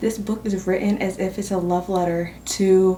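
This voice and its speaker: Noticeable background noise fills the recording. Through it, a woman whispers. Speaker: booktuber vlogger. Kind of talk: casual vlog chat. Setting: at work. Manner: whispering.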